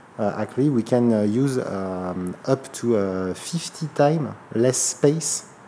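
In a French accent, a man speaks at medium pitch. His dark, mellow tone shows ordinary pitch variation. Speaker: startup executive. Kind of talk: interview. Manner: halting.

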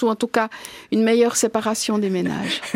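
The recording is dry and close with no echo as a woman speaks in a monotone, flat intonation. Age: 50s. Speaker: farmers' association president. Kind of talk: interview.

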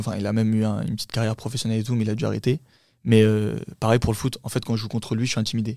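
A man speaks very fast in a dark, mellow tone with monotone, flat intonation. The recording is very clean, with a silent background. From France, Paris suburbs (Champigny, Val-de-Marne). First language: Turkish (speaking French). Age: 20s. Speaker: actor, musician, model and dancer. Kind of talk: casual chat.

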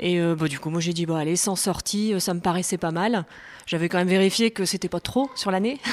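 This is an ordinary speaking voice. It moves at a moderate pace with ordinary pitch variation. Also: woman. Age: 40s. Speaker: amateur jogger, mother of five. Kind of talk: casual interview. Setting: at home.

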